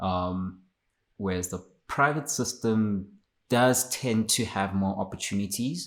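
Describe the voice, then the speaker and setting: A man's fairly low voice with ordinary pitch variation at a very slow pace, in a very clean recording with a silent background. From South Africa, Limpopo. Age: 20s. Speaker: podcast guest. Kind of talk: interview.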